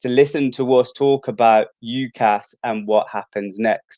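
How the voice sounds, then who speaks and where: Here a man speaks with a Brummie accent. His intonation is fairly even. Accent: Brummie (Birmingham). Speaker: university outreach presenter. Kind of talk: live stream presenting.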